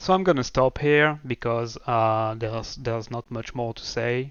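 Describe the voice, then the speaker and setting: A man's medium-pitched voice with a non-native accent, at a moderate pace. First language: not English. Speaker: programming tutorial creator. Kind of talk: tutorial. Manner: halting, many fillers.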